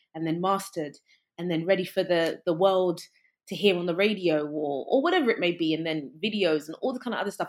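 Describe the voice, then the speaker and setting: Talking at a very fast pace, a woman with a London accent uses a fairly low pitch and ordinary pitch variation. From England, West London. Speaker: creative entrepreneur and musician. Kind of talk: casual interview.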